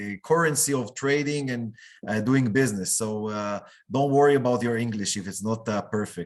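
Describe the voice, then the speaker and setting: A man speaks at a moderate pace with a medium pitch. He has a non-native accent. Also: ordinary pitch variation, quiet background. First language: not English. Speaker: business chamber director. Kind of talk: online meetup hosting. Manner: hesitant, many fillers.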